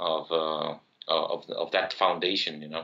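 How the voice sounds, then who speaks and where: A man with a Spanish accent, at a fairly slow pace. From Uruguay. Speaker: software entrepreneur, tech community leader. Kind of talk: interview podcast. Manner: halting, many repetitions.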